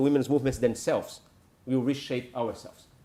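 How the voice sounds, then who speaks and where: With a Brazilian accent, a man speaks at a fairly high pitch. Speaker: NGO leader. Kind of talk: conference presentation. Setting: conference talk with audience. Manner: hesitant with frequent fillers.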